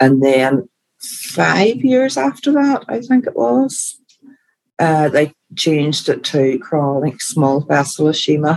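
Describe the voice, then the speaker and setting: The speech is delivered at a very slow pace. It carries a Belfast accent. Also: woman. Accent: Belfast Northern Irish. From Northern Ireland. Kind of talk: casual chat.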